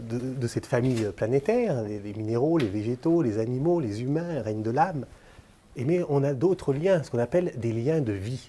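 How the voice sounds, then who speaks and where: His voice has a dark, mellow tone at medium pitch, and this man uses ordinary pitch variation. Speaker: lecturer. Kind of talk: lecture. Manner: hesitant, many filler sounds.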